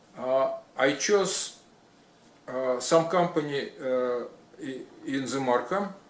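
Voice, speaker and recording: At a very slow pace with long, frequent pauses, a man with a non-native accent and a fairly high pitch speaks with ordinary pitch variation, amid audible room echo and noticeable background noise. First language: not English. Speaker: retired electrician. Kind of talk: personal story. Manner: halting, many fillers.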